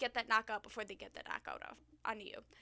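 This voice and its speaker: A woman speaks in a bright, sharp tone. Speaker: gaming YouTuber. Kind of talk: casual commentary video. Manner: fast; hesitant with fillers.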